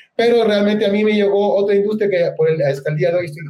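A man speaks at a very fast pace. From central Chile. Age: 30s. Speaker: crypto investor and network marketer. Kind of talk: interview.

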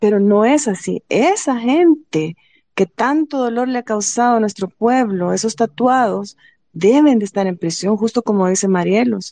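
Dry and close with no echo, a woman's dark, mellow tone carries a fairly high pitch and lively intonation at a fairly slow pace. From El Salvador, Apopa. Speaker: human rights advocate for detainees. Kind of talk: panel discussion.

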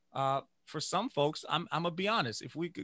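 With a Louisiana accent, the speaker goes at a fairly quick pace in a very clean recording with a silent background and a dry, close sound with no echo. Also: man. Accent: Southern US (Louisiana). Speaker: music educator and saxophonist. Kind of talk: interview conversation. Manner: animated.

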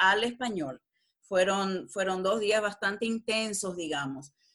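A woman speaks with ordinary pitch variation. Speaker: translator and lawyer. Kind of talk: interview.

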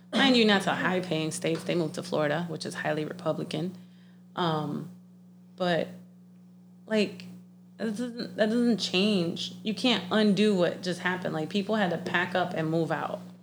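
Fairly low-pitched woman's voice with vocal fry, ordinary pitch variation and a moderate pace. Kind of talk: casual chat. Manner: animated.

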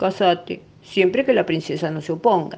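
Against a quiet background, a female-sounding put-on character voice speaks at a moderate pace. Its pitch is fairly low. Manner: meek, timid.

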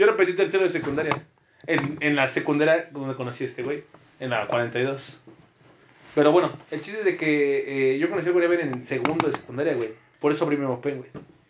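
A fairly high-pitched man speaks at a fairly quick pace with ordinary pitch variation. Noticeable background noise is present. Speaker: podcast co-host. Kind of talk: casual chat.

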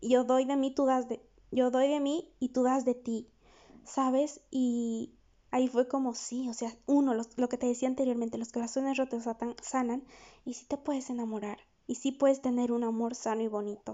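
The voice has a warm tone and monotone, flat intonation, moving at a moderate pace. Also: woman, high pitch for a woman. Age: 20s. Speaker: psychologist podcast host. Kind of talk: solo podcast monologue. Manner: warm, conversational.

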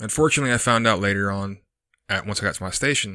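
Over a very clean recording with a silent background, a man talks at a very fast pace in a fairly low pitch with a bright, sharp tone. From Texas. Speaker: Marine veteran, podcast co-host. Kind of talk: casual interview.

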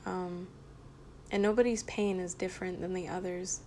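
A woman talks at a medium pitch and a fairly slow pace. Her intonation stays monotone and flat. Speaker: solo podcaster. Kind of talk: casual monologue. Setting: home kitchen. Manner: rambling, halting.

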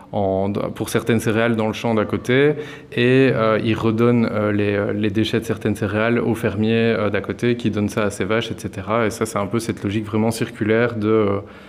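A man with a fairly low pitch speaks in a monotone, flat way over noticeable background noise. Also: moderate pace. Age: 20s. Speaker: cooperative grocery founder. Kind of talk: interview. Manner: hesitant, many fillers.

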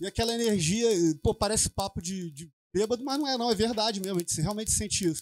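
A man speaks very fast at a high pitch with ordinary pitch variation. The sound is dry and close with no echo, on a very clean recording with a silent background. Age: 40s. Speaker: bassist. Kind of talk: casual interview chat.

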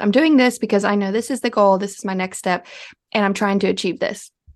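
A woman with a plain, everyday voice, fairly high in pitch with ordinary pitch variation, against a quiet background. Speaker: podcast co-host. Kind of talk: casual chat.

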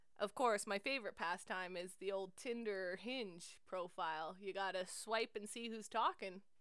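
In a Canadian accent, a woman talks at a moderate pace with hardly any pauses, her medium pitch showing ordinary variation. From central Alberta, Canada. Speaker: podcast host, teacher. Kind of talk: casual chat. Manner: animated.

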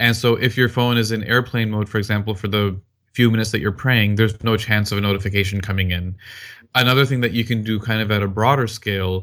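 Talking at a very fast pace, a man speaks with an American accent. His intonation stays fairly even. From Texas, US. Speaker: corporate professional and community volunteer. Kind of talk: interview.

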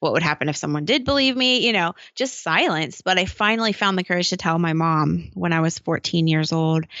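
Her fairly low voice moves at a fairly quick pace with lively intonation. The woman's loudness stays very even. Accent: American. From US Midwest. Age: 30s. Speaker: author and abuse survivor speaker. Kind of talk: interview testimony.

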